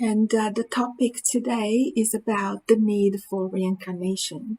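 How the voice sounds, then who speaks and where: A woman with fairly high pitch and a somewhat breathy sound speaks at a fairly slow pace with ordinary pitch variation. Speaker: spiritist study group leader. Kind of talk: lecture; guided meditation.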